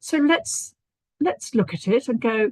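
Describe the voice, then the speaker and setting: The sound is dry and close with no echo as a woman speaks in a somewhat breathy voice. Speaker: stress and anxiety therapist. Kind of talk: interview on live stream.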